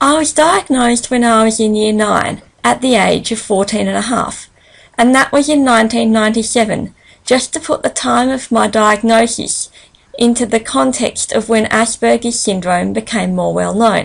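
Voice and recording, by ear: A woman's fairly high voice with vocal fry and ordinary pitch variation. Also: moderate pace.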